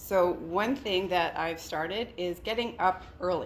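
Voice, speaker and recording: Ordinary pitch variation in a woman's medium-pitched voice, a normal speaking voice. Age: 50s. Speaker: investor group founder and event host. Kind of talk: event welcome speech. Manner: casual, chatty with filler words.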